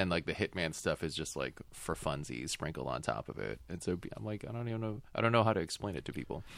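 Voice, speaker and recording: This man has a very deep, low voice with vocal fry. He talks very fast, and his pitch swings very widely. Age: 40s. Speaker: film podcast guest. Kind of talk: casual chat.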